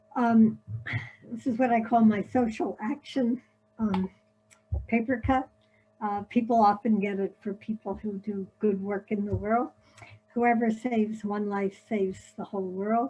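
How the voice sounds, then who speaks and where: A woman's fairly high, somewhat breathy voice with a dark, mellow tone, fairly even intonation, a fairly slow pace and long, frequent pauses. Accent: American. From US Northeast, Philadelphia. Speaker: paper-cut artist. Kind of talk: illustrated presentation. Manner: casual, many filler words.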